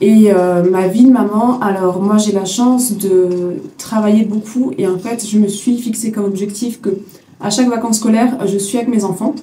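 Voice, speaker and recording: A woman's fairly high voice at a moderate pace, fairly even in intonation, over noticeable background noise. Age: 30s. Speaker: hair extension technician, business owner. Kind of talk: interview answers. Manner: hesitant with many fillers.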